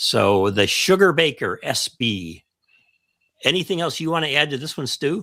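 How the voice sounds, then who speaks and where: A man's bright, sharp, fairly high-pitched voice with a Chicago accent, vocal fry and very wide pitch swings, at a moderate pace on a very clean recording with a silent background. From US Midwest, Chicago. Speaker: ham radio show co-host. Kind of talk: casual chat.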